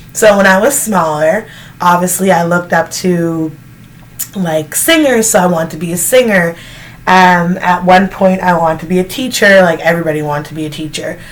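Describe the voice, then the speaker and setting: A woman with a Canadian accent in a plain, everyday voice, at a fairly quick pace. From Canada. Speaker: vlogger. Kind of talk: casual Q&A chat. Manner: casual, filler-heavy.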